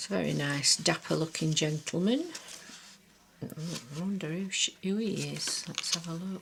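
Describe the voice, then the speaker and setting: A woman with a Lancashire accent speaks in a relaxed tone at a moderate pace, taking long, frequent pauses over noticeable background noise. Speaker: craft journal maker. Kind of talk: show-and-tell tutorial. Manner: chatty, relaxed with fillers.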